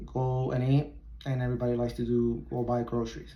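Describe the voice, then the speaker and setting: With a Puerto Rican accent, a man talks very fast in a dark, mellow, somewhat breathy voice, with audible room echo around him. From Puerto Rico. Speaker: military recruiter. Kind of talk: presentation to high school students.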